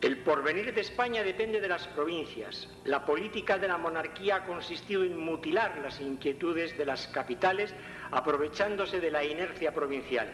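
A man's high-pitched voice at a moderate pace, ordinary pitch variation, hardly any pauses, and noticeable background noise. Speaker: actor voicing a philosopher. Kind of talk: recreated speech.

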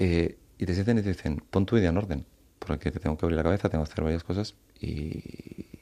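A man talks at a very fast pace with a very deep, low pitch. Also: ordinary pitch variation. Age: 30s. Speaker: author. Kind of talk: interview.

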